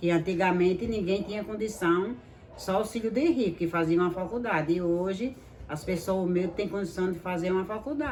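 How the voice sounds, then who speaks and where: Amid audible room echo and noticeable background noise, a woman speaks at a fairly quick pace with a medium pitch and ordinary pitch variation. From rural Alagoas, Brazil (Ibateguara). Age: old. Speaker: interviewee, retired domestic worker. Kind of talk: interview.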